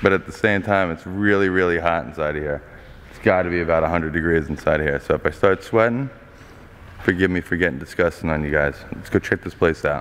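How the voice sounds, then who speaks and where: A man's very deep, low voice at a very fast pace, with ordinary pitch variation and big swings in loudness. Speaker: urban explorer vlogger. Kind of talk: casual vlog chat. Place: hall. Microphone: phone near.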